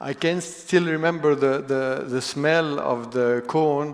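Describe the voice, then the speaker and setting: A man with a non-native accent speaks at a very slow pace, his intonation fairly even, with audible room echo. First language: not English. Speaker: business executive. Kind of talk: keynote talk. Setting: stage with audience. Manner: halting.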